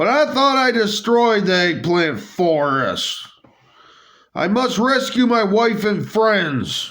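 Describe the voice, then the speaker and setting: A man's put-on character voice, high-pitched and lively in intonation, with audible echo. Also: fairly slow pace, very even loudness. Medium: solo performance. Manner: brash, emphatic.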